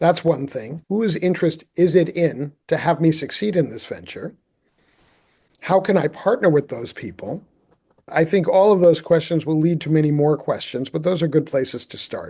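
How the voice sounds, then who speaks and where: This man talks at a moderate pace with a fairly high pitch, a dark, mellow tone and ordinary pitch variation. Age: 60s. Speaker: sustainability consultant and author. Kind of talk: interview conversation.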